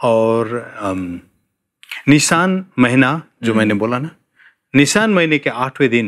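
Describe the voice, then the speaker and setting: A man's medium-pitched voice carries lively intonation, broken by long, frequent pauses. The recording is very clean, with a silent background. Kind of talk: Bible teaching conversation on a TV program.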